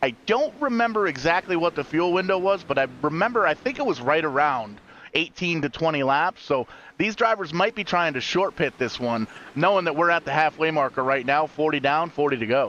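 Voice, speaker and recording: Fairly quick and animated, a man with a fairly high pitch and a bright, sharp tone speaks in a dry, close sound with no echo. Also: lively intonation. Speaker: sim racing commentator. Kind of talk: live commentary. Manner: fast.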